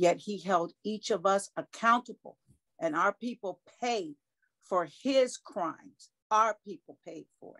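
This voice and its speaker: With lively intonation and big swings in loudness, a woman speaks at a fairly slow pace against a quiet background. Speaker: cult survivor. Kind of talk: interview. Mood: somber, earnest recollection. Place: home room. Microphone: video call.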